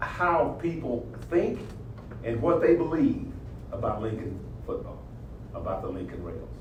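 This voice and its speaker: A man with an American accent speaks amid audible room echo and noticeable background noise. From US South, southern Oklahoma. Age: 70s. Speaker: motivational speaker, former football coach. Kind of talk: motivational talk. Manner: animated.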